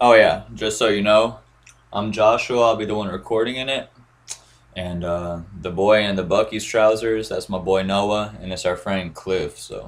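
An ordinary speaking voice at a moderate pace. The intonation stays fairly even. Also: man, fairly low pitch for a man. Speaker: vlogger. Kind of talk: casual vlog chat. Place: home room. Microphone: webcam.

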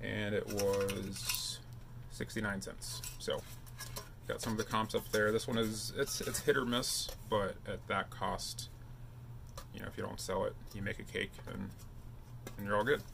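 A man at a fairly slow pace, with long, frequent pauses over light background noise. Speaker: thrift reseller vlogger. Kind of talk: casual vlog chat. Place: home room.

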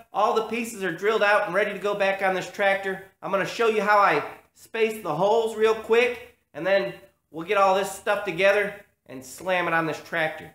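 With audible room echo, a man with a high voice speaks at a moderate pace and ordinary pitch variation. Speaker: hobby tractor restorer. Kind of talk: tutorial. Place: garage. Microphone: phone near.

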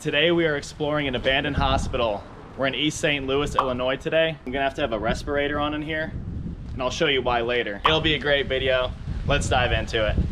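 Very fast speech with fairly even intonation over noticeable background noise. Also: man. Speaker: urban explorer vlogger. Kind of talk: casual vlog chat. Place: street. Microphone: phone near.

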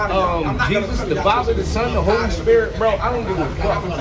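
This man speaks fairly quickly. Loud background noise runs behind him. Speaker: passerby arguing with street preachers. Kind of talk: heated street debate. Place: street.

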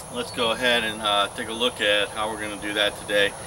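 A man talks with fairly even intonation while noticeable background noise sounds behind him. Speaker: diy how-to host. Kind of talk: tutorial. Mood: relaxed, chuckling. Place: street.

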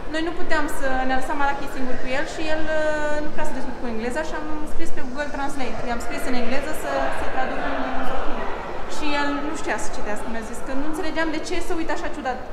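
A woman speaks in a high voice with ordinary pitch variation. Clear background noise can be heard.

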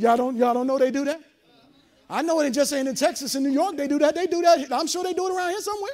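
A man's very fast, animated speech at an extremely high pitch, with ordinary pitch variation. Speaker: preacher. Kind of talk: sermon. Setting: church. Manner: animated, call-and-response, building to a crescendo; loud, fervent. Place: hall.

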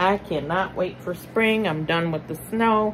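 Light background noise sits behind the voice. The delivery is fairly slow, with fairly even intonation. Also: woman. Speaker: haul vlogger. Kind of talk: casual vlog chat. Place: home room. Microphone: phone near.

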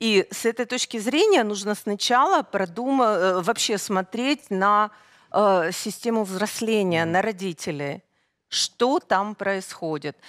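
A woman at a very slow pace, medium in pitch with lively intonation, over a quiet background. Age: 50s. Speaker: guest. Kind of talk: studio interview. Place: studio. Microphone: headset.

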